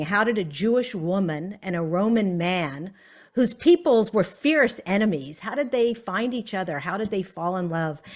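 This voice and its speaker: A woman with an American accent and an unremarkable speaking voice, at a moderate pace with lively intonation. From US South. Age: 60s. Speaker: author. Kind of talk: author talk.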